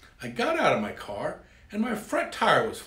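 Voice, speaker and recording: Audible room echo surrounds a man's speech. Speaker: speaker. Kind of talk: storytelling talk to camera. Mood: humorous, playful. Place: home room.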